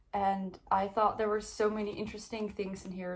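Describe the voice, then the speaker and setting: With a Dutch accent, a woman speaks at a moderate pace and a medium pitch. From Netherlands. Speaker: book youtuber. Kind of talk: casual book review vlog. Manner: casual, many fillers.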